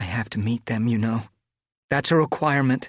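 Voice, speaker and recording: A man's put-on character voice at a medium pitch, fairly quick and nervous in tone, dry and close with no echo. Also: quiet background. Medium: read story. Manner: nervous, quiet.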